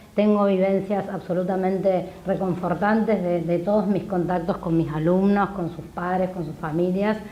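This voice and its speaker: Against noticeable background noise and audible room echo, a woman speaks in a monotone, flat way at a medium pitch. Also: moderate pace, hardly any pauses. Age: 40s. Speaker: history teacher and political candidate. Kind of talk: TV interview.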